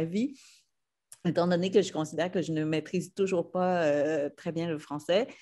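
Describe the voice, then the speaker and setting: A woman of medium pitch speaks at a moderate pace with ordinary pitch variation against a quiet background. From Vietnam, then Quebec from childhood. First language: Vietnamese (speaking French). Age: 50s. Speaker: novelist. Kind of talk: panel talk. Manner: halting, many hesitations.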